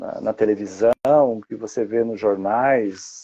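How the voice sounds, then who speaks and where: A man at a very slow pace, with a dry, close sound with no echo and a quiet background. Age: 60s. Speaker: wildlife protection activist. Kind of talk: interview. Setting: live stream. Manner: halting, many repetitions.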